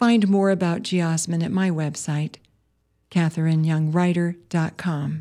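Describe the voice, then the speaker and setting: A woman with an American accent and an unremarkable speaking voice, fairly low in pitch, at a fairly slow pace with fairly even intonation. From US Midwest, Wisconsin. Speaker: poet and farmer, radio host. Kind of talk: poetry reading, spoken word; reading aloud, scripted intro and outro.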